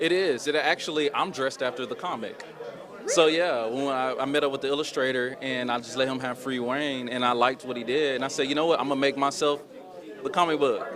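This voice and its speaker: With an American accent, a man speaks very fast at a fairly high pitch and with fairly even intonation. Noticeable background noise and audible room echo are present. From Oklahoma, Muskogee. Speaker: filmmaker and actor. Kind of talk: interview.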